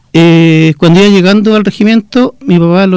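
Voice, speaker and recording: A man's high-pitched voice carries a dark, mellow tone and ordinary pitch variation. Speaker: former student leader, son of a victim of the dictatorship. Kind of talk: testimony.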